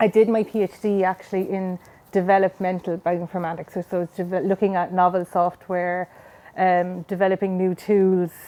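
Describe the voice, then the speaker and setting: A woman's medium-pitched, dark and mellow voice with a Cork accent and monotone, flat intonation. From Ireland, Cork City. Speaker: scientist. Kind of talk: interview.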